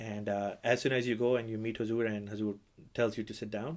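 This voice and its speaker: A man with a Pakistani accent talks at a medium pitch, captured in a very clean recording with a silent background. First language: Urdu. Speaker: imam and podcast host. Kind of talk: casual interview.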